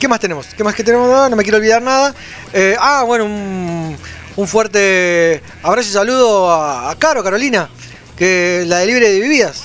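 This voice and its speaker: Against noticeable background noise, a high-pitched man talks at a moderate pace with lively intonation. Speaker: radio host. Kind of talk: casual chat.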